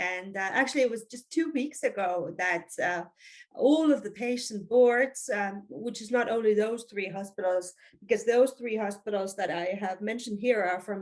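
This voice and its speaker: A woman with an Estonian accent, medium pitch, ordinary pitch variation, moderate pace and big swings in loudness. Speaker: physician and hospital quality manager. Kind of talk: webinar presentation. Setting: online webinar. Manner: halting, many fillers.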